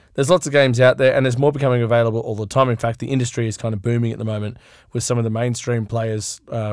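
An Australian accent with fairly even intonation, on a very clean recording with a silent background. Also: man. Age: 30s. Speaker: podcast host. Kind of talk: casual chat.

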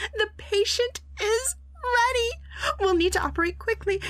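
At a very slow pace, a woman speaks with an extremely high pitch. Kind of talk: comic audio drama acting. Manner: teasing, giddy, impish.

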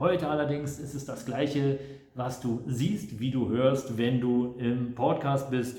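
Speech comes at a very slow pace with fairly even intonation. There is audible room echo and noticeable background noise. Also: man, medium pitch for a man. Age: 50s. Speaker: real estate agent. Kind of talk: casual monologue.

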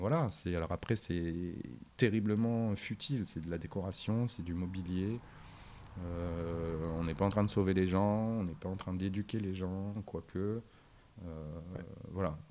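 A man with a very deep, low voice and a dark, mellow tone speaks at a fairly slow pace with fairly even intonation and long, frequent pauses. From northern France, Arras. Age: 40s. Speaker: concept store owner. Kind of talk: interview. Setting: in his shop.

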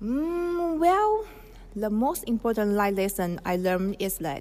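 This woman's voice sits at medium pitch. Her intonation is lively. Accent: Chinese. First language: Chinese. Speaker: language student. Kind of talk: personal story presentation.

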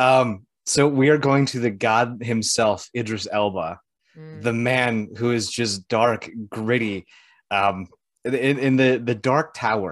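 There is a quiet background as a man speaks at a medium pitch. His pace is very slow, and his pitch varies in an ordinary way. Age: 30s. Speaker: show co-host. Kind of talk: casual chat. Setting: online video show.

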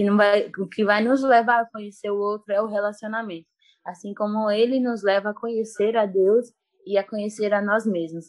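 At a moderate pace, a woman talks in a fairly high voice. Her intonation is monotone and flat. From Bahia, Brazil. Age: 20s. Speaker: missionary and jiu-jitsu teacher. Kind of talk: casual interview. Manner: calm.

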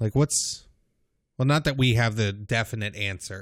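In a playful tone, a man speaks at medium pitch with ordinary pitch variation. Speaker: podcast co-host. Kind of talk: casual chat. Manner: playful, joking.

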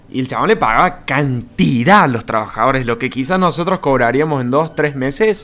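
Fairly high-pitched and bright, sharp in tone, a man talks at a fairly quick pace with lively intonation. He leaves hardly any pauses. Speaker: podcast host. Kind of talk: casual chat.

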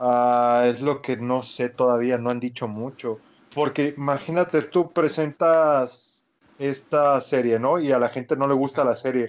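With a Mexican accent, a man speaks at a fairly slow pace and with fairly even intonation over a quiet background. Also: medium pitch for a man. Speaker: podcast co-host. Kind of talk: casual chat.

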